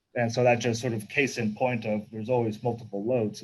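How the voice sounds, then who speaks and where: A man speaks at a fairly quick pace with a medium pitch. His intonation is monotone and flat, and his voice is somewhat breathy. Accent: American. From Texas. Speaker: mining company managing director. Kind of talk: interview. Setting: virtual conference.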